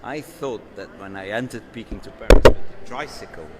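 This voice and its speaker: Noticeable background noise behind a man talking fairly quickly at medium pitch. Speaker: architect and rally driver. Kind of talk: live interview. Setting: live event at a club venue. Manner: halting, many repetitions.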